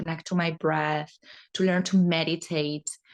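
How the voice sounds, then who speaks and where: A woman's fairly low voice with a Spanish accent, fairly even intonation and a moderate pace. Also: quiet background. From Spain. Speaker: holistic therapist and yoga teacher. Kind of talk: podcast interview.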